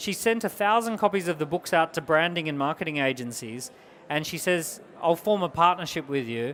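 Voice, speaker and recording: Here is a man with an Australian accent. He talks at a fairly quick pace. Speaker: entrepreneur and business speaker. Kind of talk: business workshop talk. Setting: small group at a business event. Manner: energetic, emphatic.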